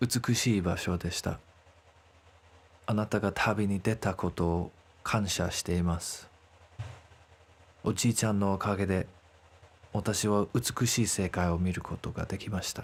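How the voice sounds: A man speaks at a fairly quick pace and low pitch, his intonation fairly even and his voice slightly husky at the edge. Long pauses come often.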